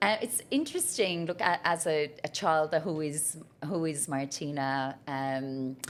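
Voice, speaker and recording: This woman has an Irish accent and a very deep, low pitch. She talks at a fairly slow pace over noticeable background noise. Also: ordinary pitch variation. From Ireland, Cork. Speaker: business leader. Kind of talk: podcast interview. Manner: loud.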